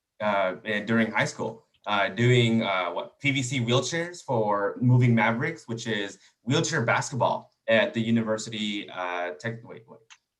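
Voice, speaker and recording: Speaking with a Spanish accent, a man keeps a medium pitch and ordinary pitch variation. His pace is moderate, with big swings in loudness. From Texas. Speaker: engineering student. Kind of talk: panel discussion.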